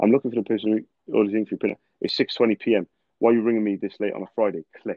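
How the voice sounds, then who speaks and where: Speech in a British accent rushes by at a very fast pace in a monotone, flat intonation. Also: man, fairly low pitch for a man. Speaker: cold caller, sales trainer. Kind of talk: casual podcast chat.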